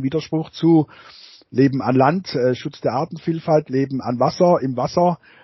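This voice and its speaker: A man speaks with a somewhat breathy voice and fairly even intonation. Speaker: geography professor. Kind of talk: interview. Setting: video call. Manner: hesitant, many fillers and repetitions.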